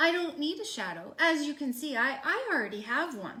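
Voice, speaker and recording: Putting on a character voice, a woman speaks with a high pitch. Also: moderate pace. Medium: read story.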